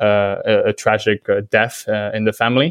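A man's voice at medium pitch. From Vietnam. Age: 20s. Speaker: sports digital executive. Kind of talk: interview. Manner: hesitant fillers.

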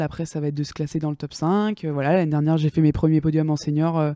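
Her voice has a very deep, low pitch and a dark, mellow tone. The woman speaks at a fairly quick pace, the sound dry and close with no echo. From France, Angers area. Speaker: athlete. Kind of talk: interview. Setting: studio.

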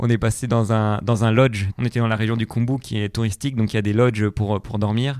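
The delivery has a monotone, flat intonation. There are hardly any pauses. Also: man, medium pitch for a man. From France, Vercors (Alps). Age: 20s. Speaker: long-distance hiker and engineer. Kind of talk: interview. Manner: hesitant, many fillers.

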